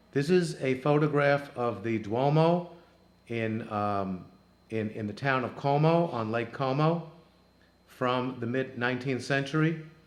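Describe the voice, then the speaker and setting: Audible room echo surrounds a man of medium pitch who talks at a fairly slow pace with ordinary pitch variation. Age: 60s. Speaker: travel show host. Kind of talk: narrated photo slideshow. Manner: halting, many fillers.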